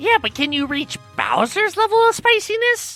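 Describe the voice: A woman puts on a character voice at an extremely high pitch, bright and sharp in tone, swinging widely in pitch over faint background music. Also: moderate pace.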